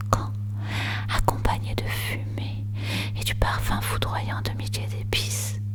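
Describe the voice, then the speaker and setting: Soft-spoken whispering comes at a very slow pace. Noticeable background noise runs underneath. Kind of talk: whispered ASMR poetry reading for sleep. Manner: whispered, soft.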